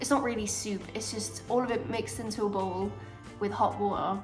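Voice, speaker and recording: With music playing behind her, a woman speaks at a moderate pace. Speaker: university student. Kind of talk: casual vlog talk to camera.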